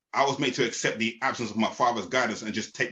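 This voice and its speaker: Very fast and bright, sharp in tone, a man with a London accent talks at a medium pitch. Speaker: spoken word poet. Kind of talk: spoken word performance. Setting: podcast. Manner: rhythmic.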